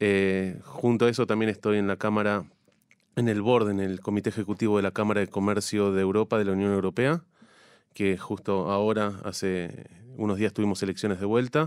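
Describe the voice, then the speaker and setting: A man's normal speaking voice, fairly even in intonation and fairly quick in pace, on a very clean recording with a silent background. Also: fairly low pitch for a man. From Argentina, La Plata. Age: 40s. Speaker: chamber of commerce president. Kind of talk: radio interview.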